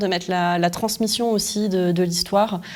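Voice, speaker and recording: A woman's medium-pitched voice, fairly slow and monotone with flat intonation. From France, Lyon. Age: 40s. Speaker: entrepreneur and author. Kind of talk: interview. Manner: hesitant, many fillers.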